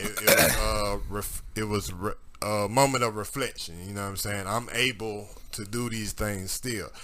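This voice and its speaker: Over noticeable background noise, a man speaks at a fairly slow pace with a fairly low pitch. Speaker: podcast host. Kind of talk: casual chat. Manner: animated.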